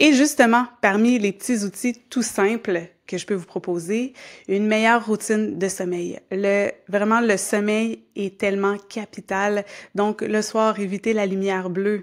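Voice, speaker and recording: A woman with a Quebec accent and fairly even intonation, on a very clean recording with a silent background. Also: medium pitch for a woman, fairly slow pace. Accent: Québécois French. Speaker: yoga teacher and podcast host. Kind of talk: podcast monologue. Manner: calm, conversational.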